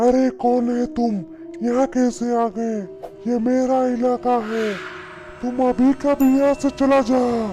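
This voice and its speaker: A cartoonish character voice with a fairly high pitch cackles at a fairly slow pace over clear music in the background. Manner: gloating, threatening, cackling laughter.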